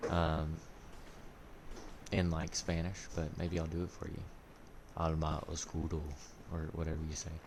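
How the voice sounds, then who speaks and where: A man talks in a very deep, low voice with a flat, monotone delivery. He keeps a moderate pace with long, frequent pauses, and the room echo is audible. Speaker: gaming streamer. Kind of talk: live gameplay commentary. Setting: live stream. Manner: casual, halting.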